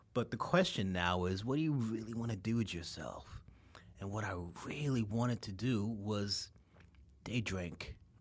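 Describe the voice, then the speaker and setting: With a New York accent, a man talks at a moderate pace in a fairly low pitch that shows ordinary variation. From New York, Queens. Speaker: liqueur entrepreneur. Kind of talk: casual chat.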